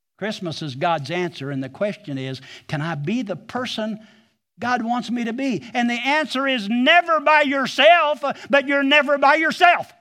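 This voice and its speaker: In an American accent, a man projects a raised, bright and sharp voice at an extremely high pitch with very wide pitch swings, keeping a moderate pace on a very clean recording with a silent background. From US Midwest, southwest Missouri Ozarks. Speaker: pastor. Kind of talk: sermon. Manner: animated.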